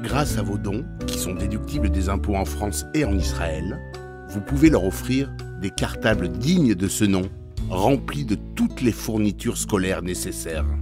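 With music in the background, a man with a very deep, low pitch speaks at a fairly slow pace, his pitch swinging very widely. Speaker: voice-over artist. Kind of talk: charity appeal narration for animated clip.

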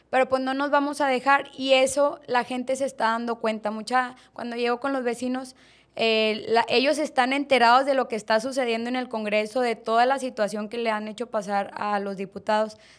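A woman speaks at a moderate pace with high pitch and fairly even intonation. She leaves hardly any pauses, and the background is quiet. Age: 20s. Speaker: political candidate; candidate. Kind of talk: interview. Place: studio. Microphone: studio mic.

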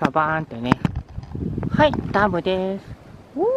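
A woman with a fairly low pitch, big pitch swings and a moderate pace

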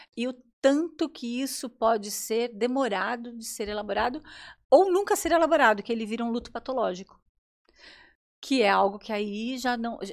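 Woman at a fairly high pitch with lively intonation, big swings in loudness, moderate pace, long and frequent pauses, quiet background. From São Paulo, Brazil. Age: 50s. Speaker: psychologist; guest. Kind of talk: casual chat. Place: studio. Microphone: studio mic.

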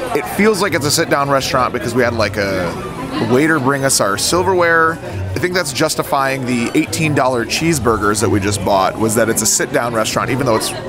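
A man at a fairly quick pace, dry sound without echo, clear music playing behind him. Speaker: theme park vlogger. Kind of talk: casual vlog chat. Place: cafe.

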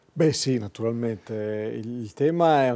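A man's voice with a dark, mellow tone. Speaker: university professor. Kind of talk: TV studio talk show. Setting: TV studio. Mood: relaxed, friendly. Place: studio. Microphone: lapel.

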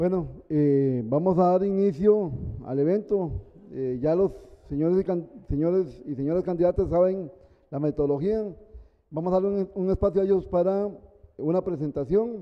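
A man's high-pitched voice with ordinary pitch variation, long and frequent pauses, and a quiet background. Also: moderate pace. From Costa Rica. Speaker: electoral tribunal moderator. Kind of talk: event moderation. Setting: university centre hall, live-streamed. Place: classroom. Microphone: handheld.

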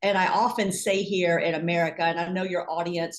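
A plain, everyday voice from a woman, fairly low and moderately paced. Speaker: podcast guest, Bible teacher. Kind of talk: interview answer. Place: home room. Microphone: video call.

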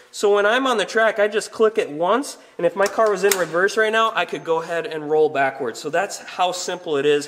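With lively intonation, a man speaks at a fairly quick pace. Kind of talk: tutorial. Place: garage. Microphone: camera far.

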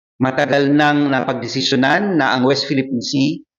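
Audible room echo surrounds the voice. The speaking pace is moderate. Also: man.

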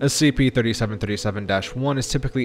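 Music plays in the background. A man speaks with ordinary pitch variation. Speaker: narrator voice actor. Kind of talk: scripted document reading.

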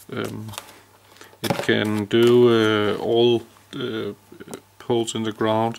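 Speaking very slowly with long, frequent pauses, a man with a Danish accent keeps a medium pitch and a flat, monotone delivery over light background noise. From Denmark. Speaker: electrician. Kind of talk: tutorial. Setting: indoors. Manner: halting. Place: open country. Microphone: phone near.

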